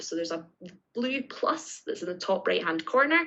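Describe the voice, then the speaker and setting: Speaking with a Scottish accent, a woman lets her pitch swing very widely. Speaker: teacher trainer. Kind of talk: tutorial. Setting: live online session with screen sharing. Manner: clear, step-by-step.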